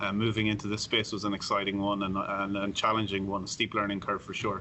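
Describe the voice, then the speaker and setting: A man with an Irish accent talks at a very fast pace in a fairly low pitch, his intonation monotone and flat. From Ireland. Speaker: sportsbook director. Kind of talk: podcast interview.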